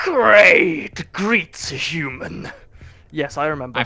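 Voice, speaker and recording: Delivered in a put-on character voice at a middle pitch. The pace is very slow. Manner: stiff, halting.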